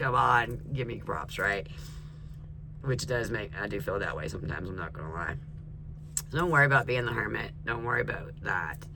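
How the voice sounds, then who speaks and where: A man with an American accent and a fairly low pitch talks at a fairly quick pace with very wide pitch swings and long, frequent pauses, heard through audible room echo and noticeable background noise. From US, mixed North and South. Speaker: tarot reader. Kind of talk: tarot reading. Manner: animated.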